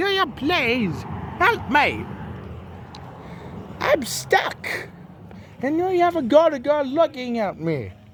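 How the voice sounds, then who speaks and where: A man's put-on character voice, extremely high-pitched, at a fairly slow pace. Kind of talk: playful improvised kid voices. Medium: solo performance.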